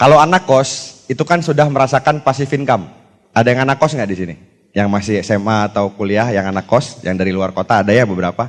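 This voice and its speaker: An ordinary speaking voice with lively intonation at a fairly quick pace. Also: man. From Jakarta, Indonesia. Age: 30s. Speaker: motivational speaker, network marketing leader. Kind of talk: motivational talk to live audience. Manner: casual, conversational.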